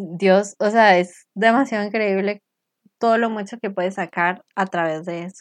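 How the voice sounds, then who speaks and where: In a normal speaking voice, a woman of medium pitch talks at a fairly slow pace with fairly even intonation and big swings in loudness against a quiet background. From Costa Rica. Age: 20s. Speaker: podcast co-host. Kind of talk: casual faith chat.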